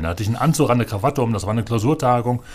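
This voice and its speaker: A man's fairly low-pitched voice. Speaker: parliamentary group manager. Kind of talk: casual chat.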